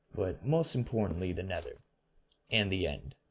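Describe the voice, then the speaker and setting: This man's voice carries vocal fry and very wide pitch swings. He speaks at a moderate pace. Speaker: gaming video narrator. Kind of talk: voiceover rant about video game graphics. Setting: headset microphone. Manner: casual, opinionated.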